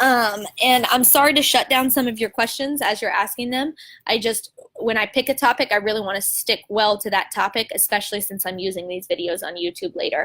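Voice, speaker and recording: Loud and energetic, a woman with a fairly high pitch speaks in a bright, sharp, animated tone at a fairly quick pace on a very clean recording with a silent background. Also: ordinary pitch variation. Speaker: teacher running live video chat for teachers. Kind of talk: live stream talk answering viewer questions. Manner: energetic, animated.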